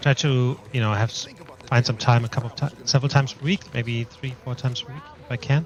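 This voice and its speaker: Very fast and with big swings in loudness, a man at medium pitch speaks over noticeable background noise. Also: fairly even intonation. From Germany. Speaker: gaming streamer. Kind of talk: casual live stream chat. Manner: relaxed, hesitant with fillers.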